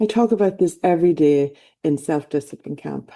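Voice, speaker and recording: In an Irish accent, a woman talks with a dark, mellow tone and a very deep, low pitch. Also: quiet background. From Ireland. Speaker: life coach. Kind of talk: motivational talk. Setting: online event.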